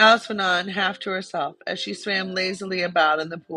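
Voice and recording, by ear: This recording is reading aloud in a natural voice. There is nothing else to it.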